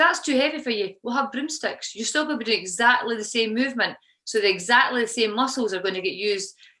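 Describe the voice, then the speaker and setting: A woman speaks with a Scottish accent in a fairly high pitch. Her tone is bright and sharp, and her intonation lively. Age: 50s. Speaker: CrossFit coach. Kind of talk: podcast interview answer.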